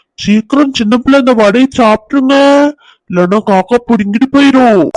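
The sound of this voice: This is a cartoonish character voice at a fairly high pitch. The delivery is fairly slow.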